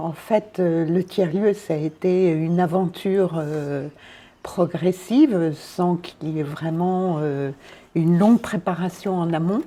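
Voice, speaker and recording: Her pace is very slow. The woman speaks at a fairly low pitch with fairly even intonation. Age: 60s. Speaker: charity volunteer, third-place manager. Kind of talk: interview.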